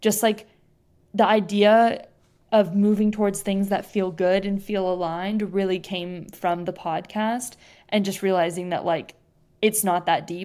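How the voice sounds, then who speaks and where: A woman's medium-pitched voice with a West Coast accent, fairly even intonation and a moderate pace, on a very clean recording with a silent background. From US Pacific Northwest (Bend, Oregon). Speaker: podcast host. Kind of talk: casual chat.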